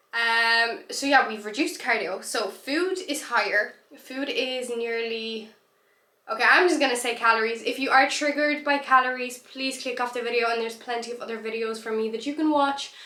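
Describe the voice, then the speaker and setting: A woman's high voice with ordinary pitch variation and audible room echo. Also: moderate pace. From Poland. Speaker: bikini competitor and posing coach. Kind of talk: vlog monologue.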